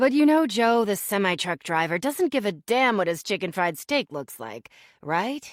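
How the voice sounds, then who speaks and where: Using a put-on character voice, a woman with a husky, medium-pitched sound talks at a moderate pace with very wide pitch swings. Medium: read story. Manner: blunt but kind.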